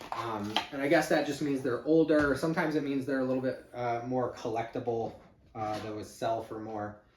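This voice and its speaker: In a Chicago accent, a man talks fairly quickly at medium pitch, with audible room echo and noticeable background noise. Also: ordinary pitch variation. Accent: Midwestern (Chicago area). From Chicago area exurb, Midwest US. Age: 50s. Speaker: YouTuber, eBay reseller. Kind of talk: unboxing video, casual talk to camera. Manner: casual, many fillers (uh, um).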